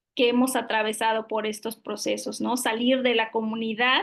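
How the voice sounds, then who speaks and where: The speaker has a Yucatán accent. The background is quiet. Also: woman. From Yucatán, Mexico (Mayan community near Tekax). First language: Yucatec Maya (speaking Spanish). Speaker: public official, lawyer. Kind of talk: interview. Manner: hesitant, many fillers.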